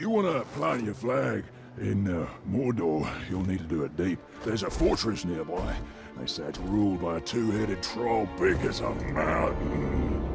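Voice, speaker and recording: A man puts on a character voice, pitched very deep and low, at a moderate pace. Loud music plays in the background. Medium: machinima. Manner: sarcastic, cocky.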